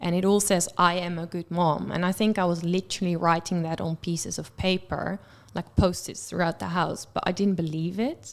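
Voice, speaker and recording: A woman speaks with a Dutch accent at a fairly low pitch. Her intonation is monotone and flat. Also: moderate pace. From Netherlands. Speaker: guest sharing mental health experience. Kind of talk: radio interview.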